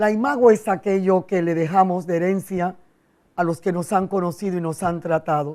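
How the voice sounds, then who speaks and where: In a dark, mellow tone, the speaker goes at a moderate pace with ordinary pitch variation. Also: woman. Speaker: psychologist and speech doctor. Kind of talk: TV interview.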